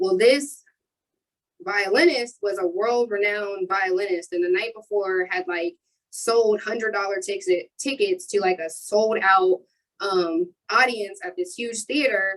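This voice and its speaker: This woman has a normal speaking voice at a medium pitch. She talks at a fairly slow pace with ordinary pitch variation. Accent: American. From Ohio (Marion). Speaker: youth mentoring business owner. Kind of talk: panel discussion.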